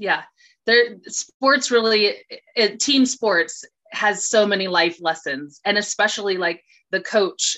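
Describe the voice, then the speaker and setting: Here is a plain, everyday voice from a woman. Her pitch is medium and varies in an ordinary way. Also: fairly slow pace. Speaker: actress. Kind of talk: casual interview.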